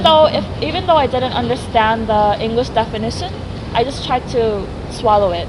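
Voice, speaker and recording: With noticeable background noise, a woman with a slight non-native accent talks in a fairly high pitch and lively intonation. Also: moderate pace. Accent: near-native English. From South Korea, childhood years in the US. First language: Korean. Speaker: graduate student in language teaching. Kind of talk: interview answer.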